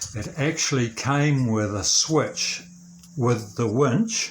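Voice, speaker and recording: A man's somewhat breathy, relaxed voice at a medium pitch, with ordinary pitch variation and a very slow pace. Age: 70s. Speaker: DIY video maker, retiree. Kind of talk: tutorial. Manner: casual, relaxed with hesitations.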